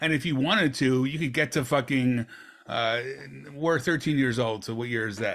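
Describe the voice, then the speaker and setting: Over a silent background on a very clean recording, a man speaks in a plain, everyday voice at a medium pitch, moderate pace and ordinary pitch variation. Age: 50s. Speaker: archive page founder and former teacher. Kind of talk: casual interview chat.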